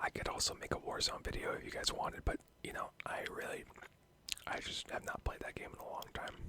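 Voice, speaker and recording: The words come fairly quickly. All of it is whispered. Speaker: ASMR YouTuber / gamer. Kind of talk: casual chatty commentary over gameplay, ASMR channel. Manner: casual, conversational, ranting, laughing; whispered, soft-spoken.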